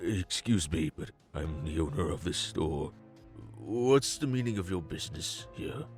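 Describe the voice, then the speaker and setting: Over clear background music, a man uses a put-on character voice, very deep and low, with very wide pitch swings at a moderate pace. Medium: audio drama. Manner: stammering, deferential.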